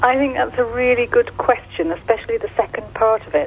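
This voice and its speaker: With noticeable background noise, a woman speaks at a moderate pace and a fairly high pitch. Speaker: charity director. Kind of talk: radio interview. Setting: phone call. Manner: halting.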